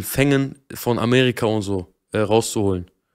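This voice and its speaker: A man is speaking. The background is quiet. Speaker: streamer. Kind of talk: angry rant, live-stream reaction. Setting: live stream. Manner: agitated, swearing, ranting. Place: home room. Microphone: studio mic.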